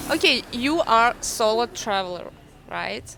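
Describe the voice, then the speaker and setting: In a Russian accent, a woman speaks at a high pitch. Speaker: travel interviewer, channel host. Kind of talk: interview. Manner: non-native, halting English.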